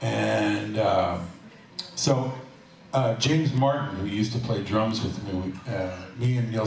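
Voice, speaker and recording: Set against noticeable background noise and audible room echo, a man speaks at a fairly low pitch with ordinary pitch variation. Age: 70s. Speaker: jazz musician and bandleader. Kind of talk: live stage banter. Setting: stage with audience. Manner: halting.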